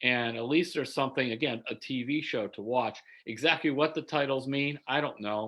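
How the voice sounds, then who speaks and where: Ordinary pitch variation and a fairly quick pace from a man with an unremarkable speaking voice at medium pitch. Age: 60s. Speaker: sports writer. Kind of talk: interview. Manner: casual, conversational.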